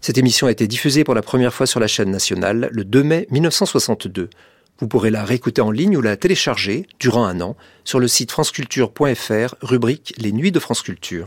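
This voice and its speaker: In an unremarkable speaking voice, a man of medium pitch talks at a moderate pace with lively intonation, recorded very cleanly against a silent background. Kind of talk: radio continuity announcement, a scripted introduction to the broadcast.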